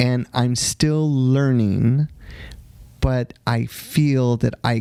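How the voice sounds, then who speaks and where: A man with an American accent at medium pitch, a very slow pace and ordinary pitch variation. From Texas. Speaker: dance teacher and competition organizer. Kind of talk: interview.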